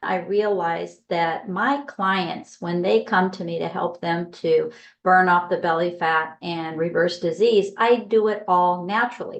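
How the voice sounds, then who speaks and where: Against a quiet background, a woman in an ordinary speaking voice talks at a fairly slow pace with hardly any pauses, fairly low pitch and ordinary pitch variation. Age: 60s. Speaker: health coach. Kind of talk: video commentary.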